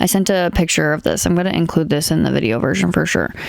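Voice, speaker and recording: A woman mumbles at a fairly quick pace. Noticeable background noise sits behind her. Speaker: podcast host. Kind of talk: casual monologue. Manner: mumbling.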